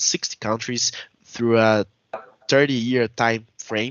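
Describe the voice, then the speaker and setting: A man with a Portuguese accent speaks at a fairly slow pace. His pitch sits in the medium range. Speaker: researcher. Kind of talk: conference presentation. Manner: halting.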